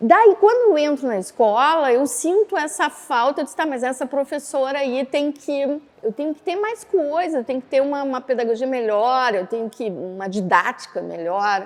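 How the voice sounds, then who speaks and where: Her high voice swings very widely in pitch and loudness changes a lot as the woman speaks at a moderate pace with hardly any pauses. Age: 60s. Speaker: actress and death doula. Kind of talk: interview testimony. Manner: animated, conversational.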